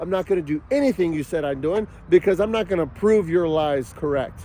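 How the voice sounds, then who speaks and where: Shouting at a moderate pace, a man speaks in an animated tone. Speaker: father in a custody dispute. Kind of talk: angry personal monologue. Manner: yelling.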